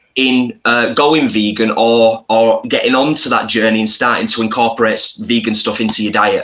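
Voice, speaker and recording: A man talks in a Lancashire accent. His pace is moderate, with hardly any pauses. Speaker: vegan content creator. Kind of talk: casual interview chat.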